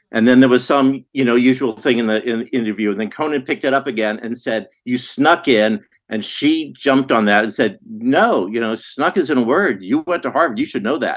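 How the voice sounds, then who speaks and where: A man with an ordinary speaking voice, medium in pitch with ordinary pitch variation, at a fairly quick pace with hardly any pauses. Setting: remote call.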